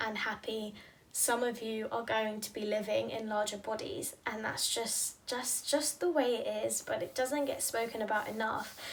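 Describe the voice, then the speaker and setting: A woman speaks at a fairly slow pace with hardly any pauses, her pitch fairly high. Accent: British. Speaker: fitness professional and podcast host. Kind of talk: casual monologue podcast. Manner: rambling, halting with restarts.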